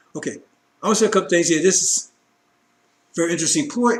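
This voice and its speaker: Talking at a very fast pace, a man uses a high pitch and lively intonation. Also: long, frequent pauses. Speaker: religious broadcaster. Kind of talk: sermon. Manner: animated.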